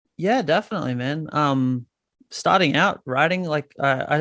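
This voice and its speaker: A man with an Australian accent at a moderate pace against a quiet background. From Australia, north Queensland. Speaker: musician. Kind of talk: casual interview. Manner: halting.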